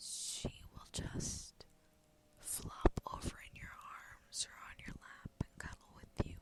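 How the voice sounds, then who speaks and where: Whispering at a very slow pace with noticeable background noise. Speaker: ASMR creator. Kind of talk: ASMR whisper rambling to camera. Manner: whispered.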